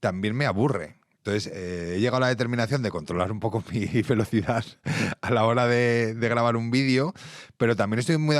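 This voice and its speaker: The man's voice is fairly low in pitch. He talks at a very fast pace. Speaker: podcast host. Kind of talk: interview.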